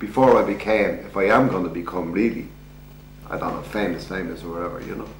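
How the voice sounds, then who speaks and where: There is audible room echo and light background noise. A man talks at a fairly quick pace. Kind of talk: interview answer. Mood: upbeat, proud. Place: home room.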